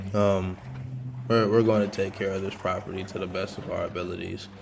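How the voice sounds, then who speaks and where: A man speaks in a fairly low voice. The room echo is clearly audible. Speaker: yard cleanup vlogger. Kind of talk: video narration. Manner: halting; casual.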